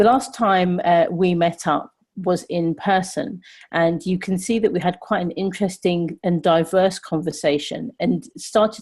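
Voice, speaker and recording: Speaking with a London accent, a woman has a fairly low, somewhat breathy voice with ordinary pitch variation. Her pace is moderate and the background is quiet. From London, England. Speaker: podcast host. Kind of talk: casual chat.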